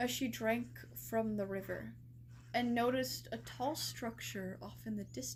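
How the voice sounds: Reading in a natural voice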